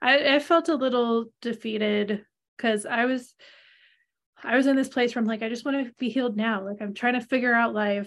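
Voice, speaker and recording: A woman's fairly high, normal speaking voice at a fairly quick pace, with fairly even intonation, on a very clean recording with a silent background. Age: 40s. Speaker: podcast co-host, human design reader. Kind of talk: casual chat.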